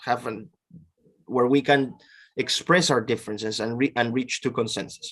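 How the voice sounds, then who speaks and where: A speaker with a Peruvian accent. The intonation stays fairly even. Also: man. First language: Spanish. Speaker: professor. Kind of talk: interview.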